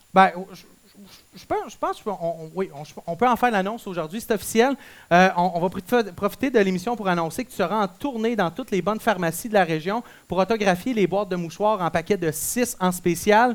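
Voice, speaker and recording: An animated voice with a Quebec accent moves at a fairly quick pace. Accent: Québécois French. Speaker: school radio show host. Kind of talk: comedic school radio show hosting.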